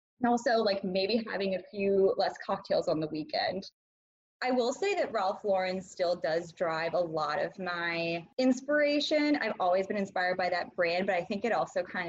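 A woman with an American accent, medium pitch, a moderate pace, lively intonation and a normal speaking voice. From US Midwest, small town. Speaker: podcast guest. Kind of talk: interview.

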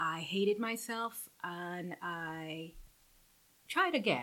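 A woman speaks with a Guyanese accent. Her voice is fairly low in pitch, with a bright, sharp tone. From Guyana, then Houston, Texas. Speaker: guest, business owner. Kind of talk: casual chat, interview. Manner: animated, laughing.

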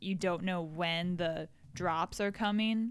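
In a very clean recording with a silent background, a woman with an American accent talks in an ordinary speaking voice at medium pitch, her pitch moving in an ordinary way. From Florida. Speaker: podcast co-host. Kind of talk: casual chat. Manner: giggly, laughs often.

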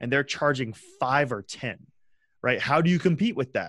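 An unremarkable speaking voice with an American accent moves at a fairly quick pace with ordinary pitch variation. The background is quiet, and the sound is dry and close with no echo. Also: man. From West Texas, small town. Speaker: freelancer and sales executive. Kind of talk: casual chat.

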